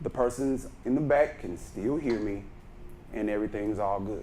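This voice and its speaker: Audible room echo surrounds a man talking fairly slowly. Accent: Texan. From Texas, Brenham. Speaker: speaking coach. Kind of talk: workshop lecture. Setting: conference room with microphone.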